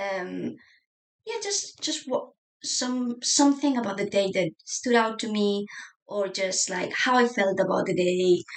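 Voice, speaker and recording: Fairly slow speech from a woman with a Spanish accent. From Spain. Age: 30s. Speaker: journaling YouTuber. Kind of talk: casual chat. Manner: hesitant, many fillers.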